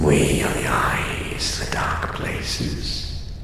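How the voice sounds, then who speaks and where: With a put-on character voice, a man speaks at a very slow pace over clear background noise and a strong echo. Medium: audio drama. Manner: cold, clipped, speaks as we.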